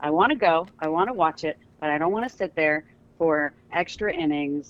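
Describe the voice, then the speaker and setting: A woman's very deep, low voice at a moderate pace, with ordinary pitch variation. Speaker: traffic reporter. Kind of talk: casual chat.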